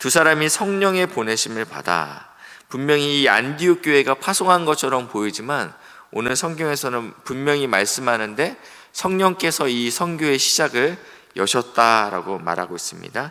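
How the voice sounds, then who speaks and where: A man with a fairly high, bright and sharp voice speaks at a moderate pace with lively intonation. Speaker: pastor. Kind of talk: sermon.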